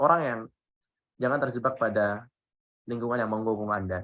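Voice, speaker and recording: A man with a bright, sharp tone at a very fast pace, over a quiet background. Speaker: public speaking trainer. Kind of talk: workshop talk. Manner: casual, conversational.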